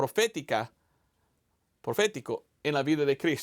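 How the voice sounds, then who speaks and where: A man with an American accent speaks with lively intonation in a very clean recording, the sound dry and close with no echo and the background silent. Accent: non-native Spanish, American. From United States. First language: English (speaking Spanish). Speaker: evangelist missionary pastor. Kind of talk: sermon. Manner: halting, with repetitions.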